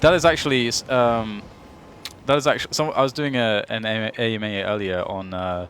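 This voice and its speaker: There is noticeable background noise as a man speaks with an English accent. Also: medium pitch for a man, ordinary pitch variation, moderate pace. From England. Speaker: esports commentator. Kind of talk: live commentary. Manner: animated.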